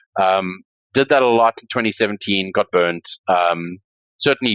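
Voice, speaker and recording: A man with a South African accent speaks at a very deep, low pitch. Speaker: crypto entrepreneur and startup investor. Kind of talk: podcast interview. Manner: hesitant, many fillers.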